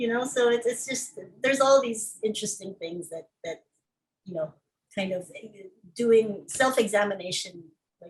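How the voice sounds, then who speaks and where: This woman talks at a moderate pace in a fairly high, somewhat breathy voice with ordinary pitch variation. Her loudness swings widely, and she leaves long, frequent pauses. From Philippines. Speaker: filmmaker and activist. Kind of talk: casual interview.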